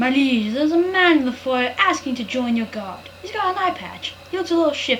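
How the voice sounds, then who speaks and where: A woman's put-on character voice, high-pitched and at a fairly quick pace, over clear background noise. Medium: solo performance. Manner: hesitant.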